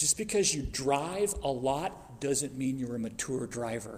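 Audible room echo surrounds a man speaking at a fairly slow pace and medium pitch, with ordinary pitch variation. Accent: American. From US Southwest, Phoenix. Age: 50s. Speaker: preacher. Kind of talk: sermon.

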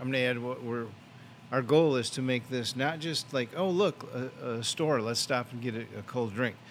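Speaking with an American accent, this man uses ordinary pitch variation at a medium pitch. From US Midwest. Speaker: small business owner, former police officer. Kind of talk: casual interview.

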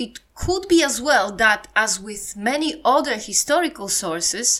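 With a Polish accent, a woman speaks at a fairly slow pace. Her tone is bright and sharp, with very wide pitch swings. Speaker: podcast presenter. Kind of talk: scripted-style podcast narration on history and culture.

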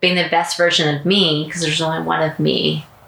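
Noticeable background noise and audible room echo are present. A woman speaks fairly quickly. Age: 40s. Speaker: podcast host. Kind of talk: casual chat. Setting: at home.

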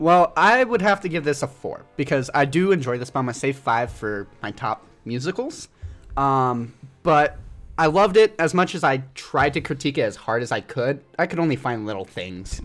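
With an American accent, a man sounds enthusiastic, his fairly high voice swinging very widely in pitch on a very clean recording with a silent background. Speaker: podcast panelist reviewing a musical film. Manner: casual, enthusiastic, emotional.

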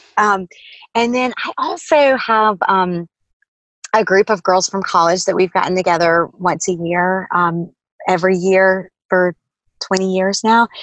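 An unremarkable speaking voice comes at a fairly slow pace with ordinary pitch variation. The recording sounds dry and close, with no echo. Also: woman, medium pitch for a woman. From North Carolina, Durham. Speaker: stationery business owner, mother. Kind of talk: casual interview chat. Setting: video call.

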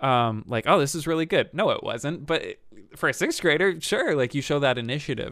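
In a plain, everyday voice, a man with an American accent speaks at a fairly quick pace, fairly high in pitch with ordinary variation, on a very clean recording with a silent background. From upstate New York. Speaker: brass musician and YouTuber. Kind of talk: casual interview.

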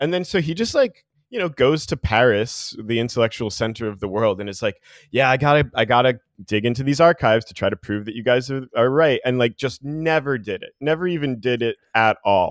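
An American-accented man talks at a fairly quick pace, medium in pitch with ordinary pitch variation. His loudness swings widely, and the sound is dry and close with no echo. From New Jersey. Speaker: philosophy lecturer. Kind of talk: casual interview. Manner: halting.

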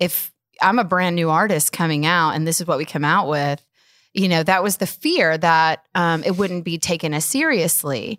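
An ordinary speaking voice with ordinary pitch variation moves at a moderate pace on a very clean recording with a silent background. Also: woman, fairly low pitch for a woman. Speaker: singer-songwriter and musician. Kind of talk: casual interview chat. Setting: studio.

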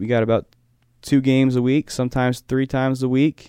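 A man talks at a moderate pace and a medium pitch, in an ordinary speaking voice. The sound is dry and close with no echo, over a quiet background. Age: 20s. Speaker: basketball coach and sportswriter. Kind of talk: casual interview.

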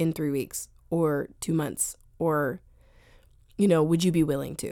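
With an American accent, a woman talks at a moderate pace in a fairly low pitch, with fairly even intonation and a dark, mellow tone, on a very clean recording with a silent background. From US, Northern Virginia. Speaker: singer-songwriter. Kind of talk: interview. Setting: radio studio.

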